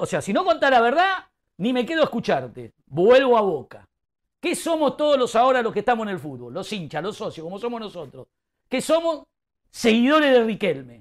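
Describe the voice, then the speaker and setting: In a very clean recording with a silent background, a man with a high voice talks fairly quickly in an animated tone, his pitch swinging very widely. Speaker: football pundit. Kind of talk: heated debate.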